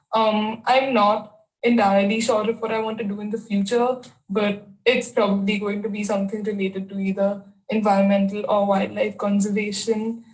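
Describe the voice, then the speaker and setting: Speaking at a moderate pace, a woman has a fairly high, somewhat breathy voice. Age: 20s. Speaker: university student. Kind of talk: self-introduction video.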